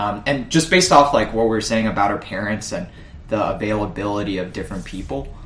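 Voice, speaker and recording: A man speaks very fast at a fairly low pitch, his intonation lively. Audible room echo surrounds the voice. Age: 20s. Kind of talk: casual chat.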